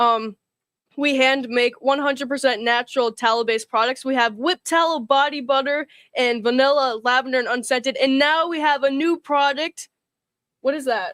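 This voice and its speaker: A woman's high pitch with fairly even intonation, in a dry, close sound with no echo. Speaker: livestream co-host, small business owner. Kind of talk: casual live chat. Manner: fast.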